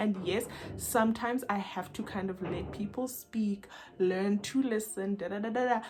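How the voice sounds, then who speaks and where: With noticeable background noise behind her, a woman talks at a medium pitch with ordinary pitch variation. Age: young. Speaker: YouTuber, self-help vlogger. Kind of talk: personal vlog talk to camera. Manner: loud, lively.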